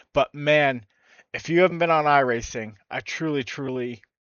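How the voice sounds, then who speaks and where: Ordinary pitch variation from a man with an American accent. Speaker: sim racing streamer. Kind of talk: gameplay commentary. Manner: animated.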